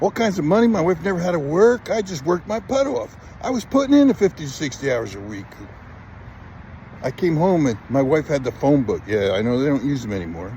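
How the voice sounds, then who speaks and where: A man talks at a fairly quick pace, his fairly high voice making very wide pitch swings. Noticeable background noise runs underneath. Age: 60s. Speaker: business owner recruiting electricians. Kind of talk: recruitment pitch. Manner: casual, conversational.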